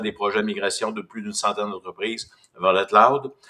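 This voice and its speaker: The speaker has a Quebec accent and fairly even intonation. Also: man. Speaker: business development manager. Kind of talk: webinar presentation.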